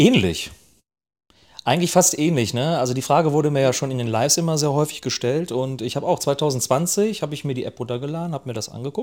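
Pitched fairly high, a man speaks at a very fast pace with ordinary pitch variation. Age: 40s. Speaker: podcast co-host, TikTok creator. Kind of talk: casual chat.

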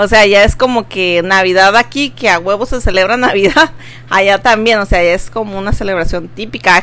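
Over music in the background, a woman speaks at a fairly quick pace with lively intonation and a medium pitch. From Veracruz, Mexico. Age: 20s. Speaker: podcast co-host. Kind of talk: casual chat.

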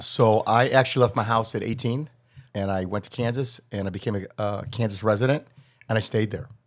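A man talks at a fairly quick pace with an American accent, medium pitch and fairly even intonation. It is an unremarkable speaking voice. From US Midwest, Chicago north suburbs. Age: 60s. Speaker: criminal defense attorney. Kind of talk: casual interview.

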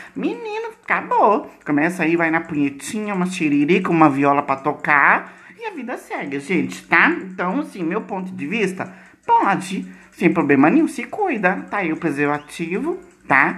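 Speaking at a moderate pace with a Brazilian accent, a woman with a fairly low pitch sounds animated, her intonation lively. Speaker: podcast host. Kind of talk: casual chat. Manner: animated, frequent laughter.

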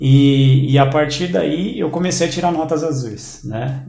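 A man with a fairly high pitch talks at a fairly slow pace, with audible room echo and noticeable background noise around him. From Brazil, São Paulo area (São Caetano do Sul). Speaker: interviewee sharing life story. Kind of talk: casual interview chat.

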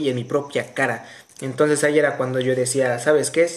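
A man is speaking. He has a Mexican accent. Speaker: podcast co-host. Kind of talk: casual chat. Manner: animated.

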